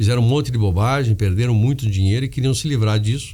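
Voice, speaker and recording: A man is speaking. His pace is fairly quick. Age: 60s. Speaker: media company executive. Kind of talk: interview. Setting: studio. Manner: halting.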